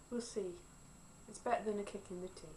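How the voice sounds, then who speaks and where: A woman is speaking, with light background noise. Her pitch varies in an ordinary way. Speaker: vlogger. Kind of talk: casual vlog chat. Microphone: phone near.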